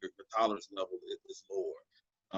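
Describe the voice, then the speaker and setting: The sound is dry and close with no echo. A man talks in an American accent. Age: 40s. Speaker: counselor. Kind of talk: interview. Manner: halting.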